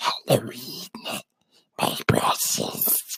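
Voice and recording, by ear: In a put-on character voice, a man growls with a raspy, high-pitched sound.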